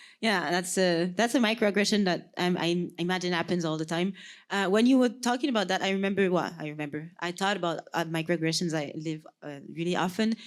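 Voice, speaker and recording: In a Quebec accent, a woman speaks at a fairly quick pace and fairly low pitch with hardly any pauses. Her pitch varies in an ordinary way, and the recording is very clean with a silent background. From Quebec, Sherbrooke. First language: French. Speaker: podcast co-host. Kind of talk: casual chat. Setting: stage with audience.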